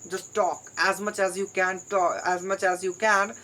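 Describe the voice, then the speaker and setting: A woman is speaking. She talks with an Indian accent. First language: Hindi. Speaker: English learner vlogger. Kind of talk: solo vlog monologue. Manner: halting, with repetitions.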